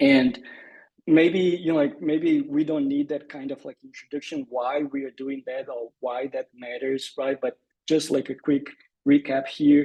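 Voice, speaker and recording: With a Brazilian Portuguese accent, a man talks at a fairly slow pace in a dark, mellow tone and a monotone, flat intonation. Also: fairly high pitch for a man. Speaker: conservation scientist. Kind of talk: presentation.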